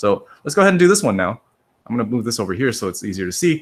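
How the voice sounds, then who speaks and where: The recording is very clean, with a silent background. A man speaks with very wide pitch swings and vocal fry. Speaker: high school statistics teacher. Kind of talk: lecture. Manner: casual, repetitive explaining.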